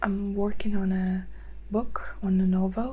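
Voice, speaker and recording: A soft-spoken woman talks very slowly in a dark, mellow, somewhat breathy tone. Her intonation is monotone and flat, with audible room echo. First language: not English. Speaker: ASMR creator and aspiring novelist. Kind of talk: casual ASMR intro chat. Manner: halting, with many fillers.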